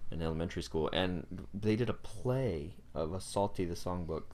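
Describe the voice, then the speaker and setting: A man talks at a moderate pace with lively intonation and vocal fry. Room echo is audible in the recording. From US South, North Carolina. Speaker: worship leader. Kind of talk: casual interview.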